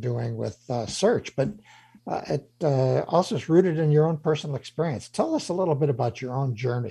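A man's medium-pitched, dark, mellow and somewhat breathy voice at a moderate pace, with ordinary pitch variation and a quiet background. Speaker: radio host and CEO mentor. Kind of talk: radio interview. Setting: studio.

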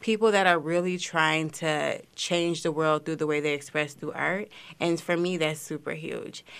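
Against a quiet background, a woman speaks at a moderate pace in a plain, everyday voice, her pitch fairly low. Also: fairly even intonation. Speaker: social media coordinator. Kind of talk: casual radio interview.

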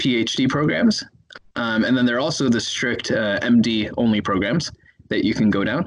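Pitch variation here is ordinary. The voice belongs to a man. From US Midwest, Chicago. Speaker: neuroscientist and medical student. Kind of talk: interview. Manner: hesitant, many fillers.

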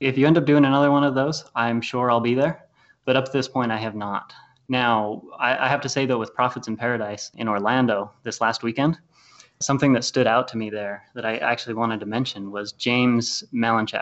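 Fairly quick and fairly even in intonation, a man talks in a medium pitch with an unremarkable speaking voice. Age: 20s. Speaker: wealth strategist and real estate investor. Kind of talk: interview.

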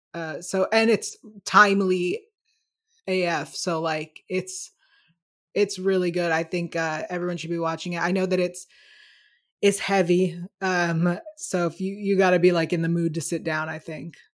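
At a moderate pace, a woman with a fairly low pitch speaks in a monotone, flat way, leaving long, frequent pauses. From United States. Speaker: YouTube show host. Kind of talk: casual chat.

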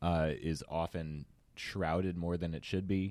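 A man speaks at a moderate pace in a very deep, low, monotone voice with flat intonation, recorded very cleanly against a silent background. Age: 20s. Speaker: distiller. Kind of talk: casual interview. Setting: studio.

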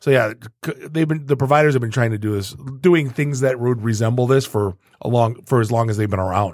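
The man has an ordinary speaking voice, medium in pitch with ordinary pitch variation, at a fairly quick pace. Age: 40s. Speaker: tech podcast host. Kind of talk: casual chat.

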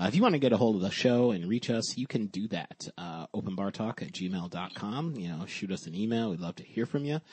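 A man's fairly low voice, slightly husky and slightly mellow, with lively intonation at a fairly quick pace and few pauses.

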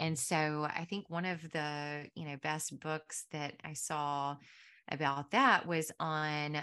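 This woman's voice sits very deep and low, with fairly even intonation on a very clean recording over a silent background. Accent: Southern US. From US South, Mississippi Delta. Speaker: pharmacist and podcast host. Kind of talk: interview.

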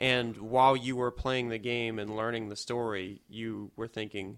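A man with an unremarkable speaking voice keeps a moderate tempo. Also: very clean recording, silent background. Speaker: podcast co-host. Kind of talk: casual chat.

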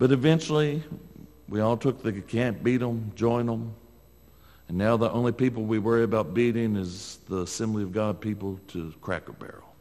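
A man's medium-pitched voice with an American accent, dark and mellow in tone, at a moderate pace with ordinary pitch variation. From northern US. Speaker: preacher. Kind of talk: sermon.

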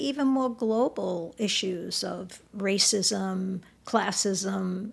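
A woman's medium-pitched voice with lively intonation, at a very slow pace. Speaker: author and counselor. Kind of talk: interview.

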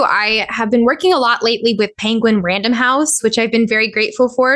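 A woman with a Californian accent, fairly high pitch, bright, sharp tone and ordinary pitch variation. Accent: Californian American. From Southern California (Orange County, Inland Empire). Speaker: voice actor and musician. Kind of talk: interview.

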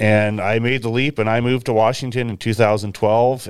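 A man with an unremarkable speaking voice talks at a moderate pace with fairly even intonation. The recording is very clean, with a silent background. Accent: American. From US Pacific Northwest, Willamette Valley, Oregon. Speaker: cattle rancher. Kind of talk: interview.

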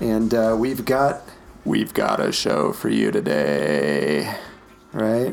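In a put-on character voice, a man speaks very slowly with a raspy, very deep pitch, very wide pitch swings and long, frequent pauses, over light background noise. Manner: affected, exaggerated.

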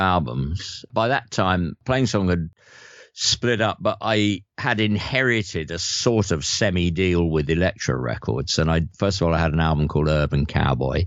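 A very deep, low-pitched man speaks with vocal fry at a moderate pace. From north London. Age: 70s. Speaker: guitarist and singer-songwriter. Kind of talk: casual interview chat.

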